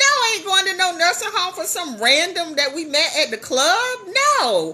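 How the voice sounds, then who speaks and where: The voice is raised and projected, animated, with very wide pitch swings. Noticeable background noise can be heard. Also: woman. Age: 50s. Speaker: business coach and livestreamer. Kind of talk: casual livestream storytelling. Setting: live stream.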